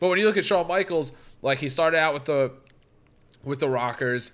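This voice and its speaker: Bright and sharp in tone, a man talks at a fairly quick pace. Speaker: podcast host. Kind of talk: casual chat about wrestling. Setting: podcast recording with mic. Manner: casual, interrupts and overlaps.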